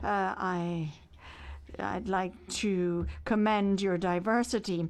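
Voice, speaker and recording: A woman's medium-pitched voice with a French accent and fairly even intonation, over a quiet background. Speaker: simultaneous interpreter. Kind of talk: simultaneous interpretation of a speech. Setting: conference hall. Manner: halting, with many fillers and restarts.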